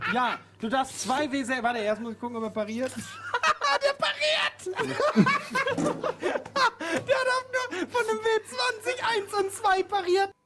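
A man speaks slowly in an extremely high pitch, with a bright, sharp tone and ordinary pitch variation. He takes long, frequent pauses over faint background noise.

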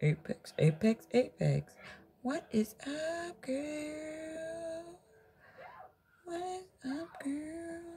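A woman's high voice with ordinary pitch variation, very slow pace, long and frequent pauses, big swings in loudness, and noticeable background noise. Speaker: nail tutorial YouTuber. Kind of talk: tutorial. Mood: playful, upbeat. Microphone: phone near.

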